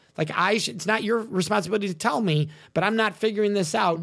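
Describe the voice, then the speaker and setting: A man talks at a high pitch and a fairly quick pace. His tone is animated. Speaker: consent educator and speaker. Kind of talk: interview conversation.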